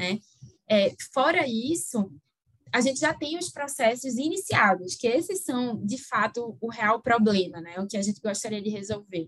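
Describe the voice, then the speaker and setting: Speaking at a fairly slow pace in a Recife accent, a woman uses a fairly high pitch and lively intonation. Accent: Recife accent, kept. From Recife, northeast Brazil. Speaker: energy-sector lawyer. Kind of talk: interview.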